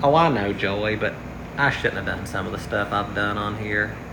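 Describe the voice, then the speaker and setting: Against noticeable background noise and audible room echo, a man with a fairly low pitch speaks at a moderate pace. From West Virginia. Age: 30s. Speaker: livestreamer. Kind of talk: casual livestream chat. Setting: outdoors. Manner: halting, tongue-tied.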